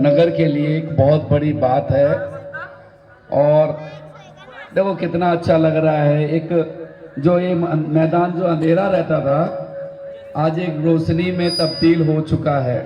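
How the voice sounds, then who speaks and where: A man with a fairly high pitch speaks very slowly in a monotone, flat way, with long, frequent pauses. Noticeable background noise and audible room echo are present. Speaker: community organizer and shopkeeper. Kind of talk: public speech.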